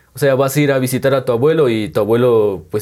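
A man talks at a moderate pace with medium pitch and ordinary pitch variation, in a plain, everyday voice. The recording is very clean, with a silent background. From Guatemala, San Juan Comalapa. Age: 20s. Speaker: painter and tattoo artist. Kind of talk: interview. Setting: on location in hometown.

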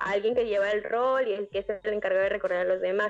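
A woman's medium-pitched voice at a fairly quick pace with monotone, flat intonation. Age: 20s. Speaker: church youth leader. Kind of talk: casual chat.

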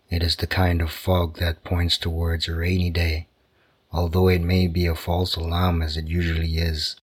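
In a very clean recording with a silent background, a man speaks at a very deep, low pitch. His tone is gentle, calm and somewhat breathy, with monotone, flat intonation. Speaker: sleep story narrator. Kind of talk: bedtime story narration. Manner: slow, calm, soothing; gentle, soft-spoken, even.

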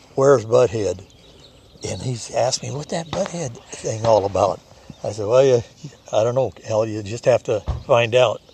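A man speaks at a moderate pace with long, frequent pauses and big swings in loudness, over noticeable background noise. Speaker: Marine veteran. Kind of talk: storytelling. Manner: halting.

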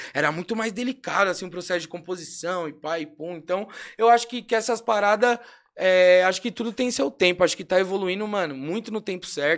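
A man with a high pitch and ordinary pitch variation talks at a fairly quick pace. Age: 20s. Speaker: rapper. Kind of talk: casual chat.

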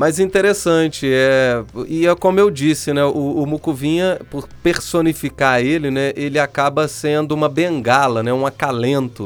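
Speaking at a moderate pace with hardly any pauses, the voice has a Minas Gerais accent and ordinary pitch variation. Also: man, fairly high pitch for a man. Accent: Mineiro Brazilian Portuguese. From Minas Gerais, Brazil (São João del Rei). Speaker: podcast host and producer. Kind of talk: casual interview.

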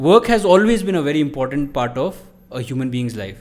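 With a fairly high pitch, a man's voice moves in very wide pitch swings. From India, Sikkim. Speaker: psychology professor. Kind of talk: casual chat.

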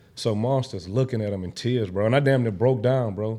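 Medium in pitch, a man's voice shows ordinary pitch variation. He talks very fast with an American accent. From Houston, Fifth Ward, Texas. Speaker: barber. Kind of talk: casual chat.

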